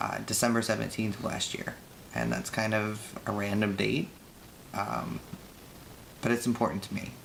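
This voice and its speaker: A man speaks over noticeable background noise. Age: 30s. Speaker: artist vlogger. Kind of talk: casual chat.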